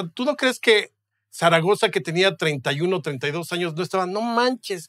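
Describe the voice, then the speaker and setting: A man speaks at a high pitch with a bright, sharp tone and very wide pitch swings, at a fairly slow pace. The background is quiet and the sound is dry with no echo. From Mexico. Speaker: historian and writer; guest. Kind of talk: casual interview. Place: studio. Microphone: studio mic.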